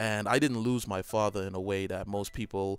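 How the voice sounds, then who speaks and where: A man with a slight Trinidadian accent talks in a fairly low pitch with fairly even intonation. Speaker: gaming YouTuber. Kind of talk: personal reflective monologue. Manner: hesitant, many fillers.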